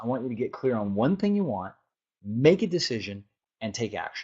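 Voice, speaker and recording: The man talks at a medium pitch. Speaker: life coach. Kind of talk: webinar teaching. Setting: webinar. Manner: fast.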